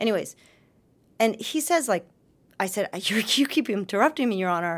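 In a very clean recording with a silent background, a woman talks fairly quickly at a fairly high pitch with lively intonation. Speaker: defense attorney. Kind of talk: interview. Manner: fast.

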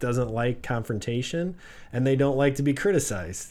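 Speaking at a medium pitch, a man is heard with audible room echo. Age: 40s. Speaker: real estate broker and business owner. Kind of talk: casual interview. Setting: studio.

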